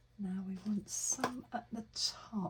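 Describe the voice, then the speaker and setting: A woman speaks at a fairly high pitch with fairly even intonation. There is noticeable background noise. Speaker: crafter. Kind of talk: tutorial. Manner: casual narration while working.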